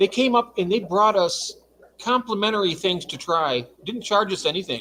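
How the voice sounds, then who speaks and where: In an American accent, a man speaks at a moderate pace in a high, raised and projected voice with a bright, sharp tone and lively intonation. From Michigan. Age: 60s. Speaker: livestream guest. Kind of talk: casual chat.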